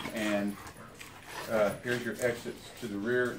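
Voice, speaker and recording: There is noticeable background noise and audible room echo as a man speaks in a fairly low pitch with fairly even intonation. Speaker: home builder. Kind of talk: construction site walk-through tour. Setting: house under construction.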